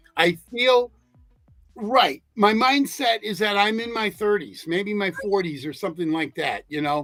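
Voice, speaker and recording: Music plays behind a man with a high pitch. He talks fairly slowly with lively intonation. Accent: American. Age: 60s. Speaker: podcast host. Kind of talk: casual chat.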